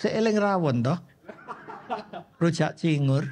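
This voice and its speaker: Ordinary pitch variation from a man. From Indonesia, Surabaya (East Java). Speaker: pastor. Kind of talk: sermon. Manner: animated.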